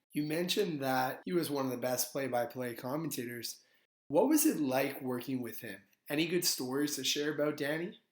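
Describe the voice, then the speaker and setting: Here is a man with an unremarkable speaking voice. It sits at a fairly high pitch with ordinary pitch variation. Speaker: podcast host. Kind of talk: podcast interview host.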